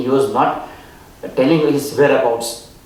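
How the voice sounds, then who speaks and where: Audible room echo and noticeable background noise surround the voice of a man. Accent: Indian. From India, Gujarat. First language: Gujarati or other Indian language. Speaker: spiritual speaker, author. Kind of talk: storytelling talk.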